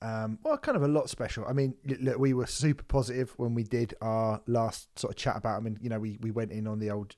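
Speaking at a fairly quick pace, a medium-pitched man with an English accent is heard on a very clean recording with a silent background. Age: 40s. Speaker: music podcast host. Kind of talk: casual chat. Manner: animated.

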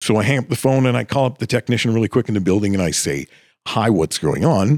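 Very fast speech with vocal fry, dry and close with no echo, on a very clean recording against a silent background. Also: man. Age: 50s. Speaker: stadium PA announcer and voice talent. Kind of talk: casual interview chat. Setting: studio.

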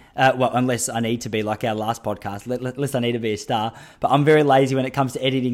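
Very fast and in an Australian accent, the speech has fairly even intonation on a very clean recording with a silent background. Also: man. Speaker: podcast host and running coach. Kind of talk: casual interview chat. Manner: chatty, tangent-prone.

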